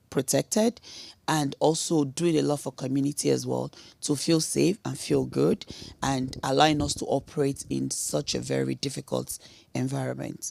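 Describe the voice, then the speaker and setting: A woman at a moderate pace, dry, close sound with no echo on a very clean recording with a silent background. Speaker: oil and gas industry executive. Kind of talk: panel discussion.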